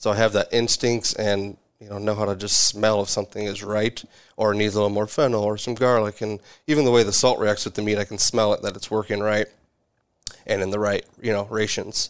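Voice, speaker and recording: The background is quiet as a man talks at a fairly quick pace. His fairly low voice has monotone, flat intonation. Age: 30s. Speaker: butcher and salumi maker. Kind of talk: casual interview.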